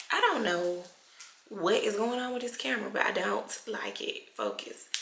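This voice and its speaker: Fairly slow female speech with noticeable background noise and audible room echo. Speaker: esthetician and beauty vlogger. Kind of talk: casual vlog tutorial.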